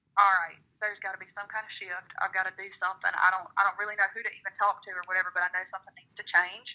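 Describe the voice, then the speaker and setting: Big swings in loudness, a monotone, flat intonation, a bright, sharp tone and hardly any pauses. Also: woman, medium pitch for a woman. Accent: Southern US. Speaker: country singer-songwriter. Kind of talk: interview answer.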